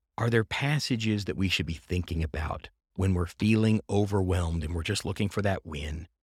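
Somewhat breathy and very deep in pitch, a man talks at a fairly quick pace with ordinary pitch variation in a very clean, dry, close recording with a silent background and no echo. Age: 40s. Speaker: podcast host. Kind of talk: casual interview chat. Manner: animated.

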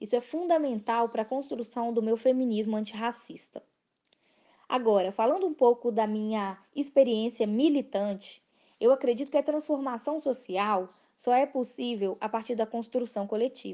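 A woman with a Minas Gerais accent, fairly high in pitch, in a dark, mellow tone at a moderate pace. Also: ordinary pitch variation. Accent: Minas Gerais Brazilian Portuguese. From Brazil, Belo Horizonte. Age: 20s. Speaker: political candidate. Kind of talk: campaign monologue.

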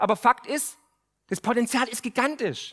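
This man's voice is high-pitched and animated in tone, with ordinary pitch variation. The sound is dry and close, with no echo. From Remstal, Swabia, southern Germany. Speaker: podcast host and finance author. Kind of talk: speech to a live audience. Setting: stage with audience.

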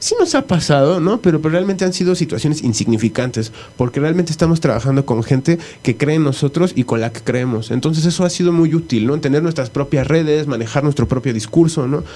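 The speaker talks at a very fast pace with a Mexican accent. Pitch variation is ordinary. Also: man, fairly high pitch for a man. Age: 30s. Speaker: electronic musician. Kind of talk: radio interview. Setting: radio studio.

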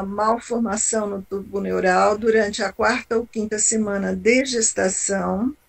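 A woman with a fairly high pitch. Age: 60s. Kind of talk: testimony. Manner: halting.

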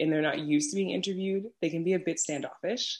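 A woman's medium-pitched voice with an American accent at a very fast pace. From New York City, Brooklyn. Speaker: podcaster and travel content creator. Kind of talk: casual interview chat.

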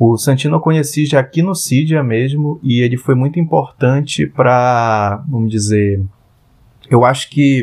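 A man's medium-pitched voice, with ordinary pitch variation, moves fairly slowly. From Parintins, Amazonas, Brazil. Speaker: product designer. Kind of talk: interview.

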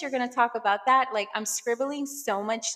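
In an American accent, a woman speaks at a high pitch. Her tone is bright and sharp. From Brooklyn, New York. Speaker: podcast host. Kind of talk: casual monologue. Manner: hesitant, frequent fillers.

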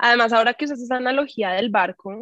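At a fairly quick pace, a woman talks in a normal speaking voice with fairly high pitch, the sound dry and close with no echo. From Colombia, Bogotá. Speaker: actress and healing coach. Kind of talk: casual interview.

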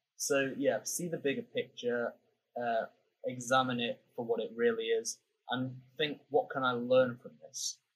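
A man speaks at a moderate pace in a British accent. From UK. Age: 20s. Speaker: podcast host. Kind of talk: casual interview chat.

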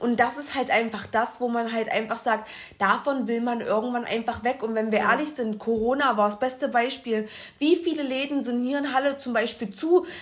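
With ordinary pitch variation, a woman's high voice moves along at a moderate pace. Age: 20s. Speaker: podcast co-host. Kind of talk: casual chat.

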